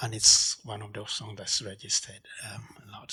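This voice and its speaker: A soft-spoken man with a fairly low pitch at a moderate pace. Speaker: artist. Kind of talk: gallery talk. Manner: halting.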